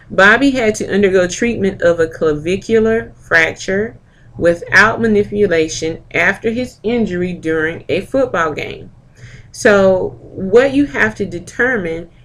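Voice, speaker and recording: At a fairly slow pace, a woman uses a normal speaking voice at medium pitch with lively intonation. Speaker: medical coding instructor. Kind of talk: lecture.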